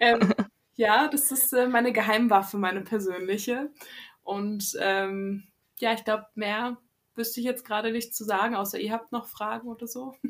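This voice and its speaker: Her voice, a woman's, sits at a fairly high pitch with fairly even intonation. She keeps a moderate pace. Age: 20s. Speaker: novelist. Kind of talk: interview. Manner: hesitant, many fillers.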